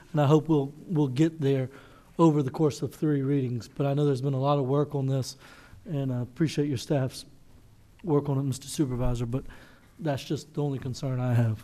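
A man at a fairly quick pace, in a dark, mellow tone with fairly even intonation. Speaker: council member. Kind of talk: meeting discussion remarks. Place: hall. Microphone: podium.

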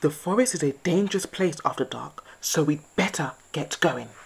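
A woman performs a put-on character voice, pitched low for a woman, with a husky, rough edge and vocal fry. Her intonation is lively and her pace moderate.

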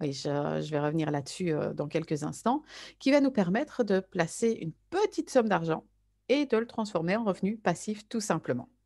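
Over a quiet background, a woman speaks at a moderate pace in a medium-pitched, dark, mellow voice with very wide pitch swings. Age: 30s. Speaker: network marketer. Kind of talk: sales pitch.

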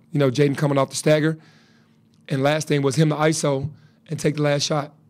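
A man in a flat monotone against a quiet background. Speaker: head basketball coach. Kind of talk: interview answer. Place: hall. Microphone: podium.

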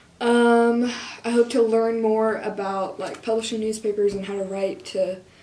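In a room with audible echo, a woman with a Midwestern American accent speaks at a fairly slow pace with fairly even intonation. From Kansas. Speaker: college student journalist. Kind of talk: interview. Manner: casual. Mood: cheerful, relaxed. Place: office.

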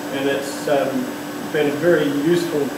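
A man talks at a moderate pace. Loud background noise and audible room echo fill the recording. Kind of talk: informal explanation to camera. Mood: relaxed, friendly. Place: workshop. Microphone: camera far.

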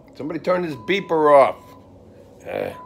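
Moderately paced speech from a man, set against background music. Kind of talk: casual vlog chat. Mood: upbeat, joking, a bit groggy. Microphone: phone near.

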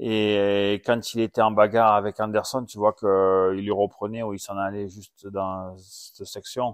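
Against a quiet background, a man speaks fairly slowly at a fairly low pitch, with hardly any pauses and monotone, flat intonation. His loudness swings widely, and the sound is dry and close, with no echo. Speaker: former supercross racer and podcast host. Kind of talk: casual chat. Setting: at home.

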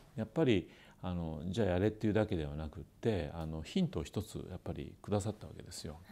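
This man's voice sits at a very deep, low pitch. It has a dark, mellow tone. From Kitakyushu, Japan. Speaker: company president, former fast-food store manager. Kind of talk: interview, recounting career story. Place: office. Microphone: lapel.

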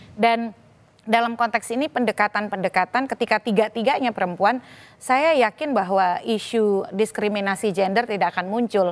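Here is a woman with a normal speaking voice and a fairly high pitch. She speaks at a moderate pace with ordinary pitch variation. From Sumatra. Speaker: election law lecturer. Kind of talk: TV panel discussion. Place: studio.

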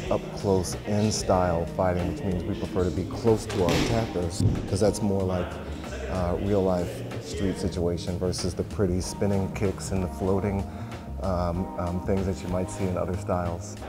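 Clear music plays behind a man whose pitch variation is ordinary. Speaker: karate instructor. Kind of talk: interview answer. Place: gym.

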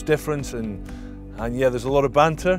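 Over clear music in the background, someone speaks very fast with a Scottish accent and a dry sound with no echo. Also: man. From Scotland. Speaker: former professional rugby player. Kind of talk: interview answer. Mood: open, reflective, relaxed. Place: garden.

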